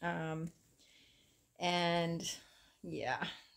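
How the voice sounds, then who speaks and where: The voice belongs to a woman with a fairly low pitch. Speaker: crochet vlogger. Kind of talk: casual vlog chat. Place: home room. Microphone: phone near.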